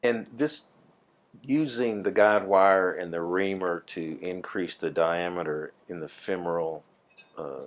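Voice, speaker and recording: Speaking at a fairly slow pace, a man talks in a very deep, low voice. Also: ordinary pitch variation, big swings in loudness. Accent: Southern US. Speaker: plaintiff lawyer. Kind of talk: deposition questioning.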